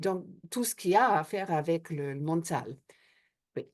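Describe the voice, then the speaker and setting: A woman with an Australian accent speaks at a fairly slow pace, her pitch fairly low. Her intonation is lively, and the background is quiet. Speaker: hypnotherapist and trainer. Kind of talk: interview. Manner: hesitant, many fillers.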